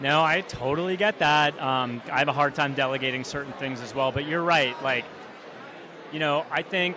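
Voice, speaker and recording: Amid noticeable background noise, a man with a fairly high pitch speaks at a moderate pace with ordinary pitch variation. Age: 40s. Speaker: podcast interviewer. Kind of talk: interview.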